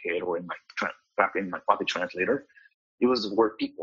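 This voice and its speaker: In a Spanish accent, the voice moves along at a moderate pace. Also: man. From Mexico (Cuernavaca), raised in Kansas City from age 9. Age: 30s. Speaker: pastor. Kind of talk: interview. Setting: video call.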